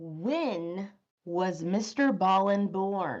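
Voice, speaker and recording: A put-on character voice, female-sounding, at a medium pitch for a woman. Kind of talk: showy, performative. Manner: bright, upbeat, announcer-like.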